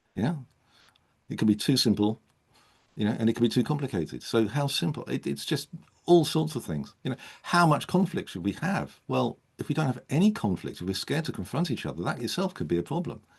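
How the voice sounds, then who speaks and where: A man's medium-pitched voice with vocal fry, very wide pitch swings and a fairly quick pace. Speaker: coach and speaker presenting a model. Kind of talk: online panel discussion.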